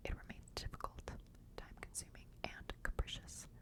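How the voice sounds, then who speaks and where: There is noticeable background noise. Over it, a woman whispers. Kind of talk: whispered ASMR book reading for sleep. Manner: whispered, soft, slow.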